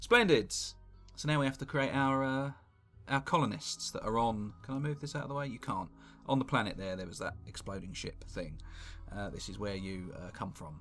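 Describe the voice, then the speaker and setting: Lively intonation and big swings in loudness in a British accent, with music in the background. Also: man, medium pitch for a man, moderate pace. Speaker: gaming commentator. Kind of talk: live gameplay commentary. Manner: casual, sweary.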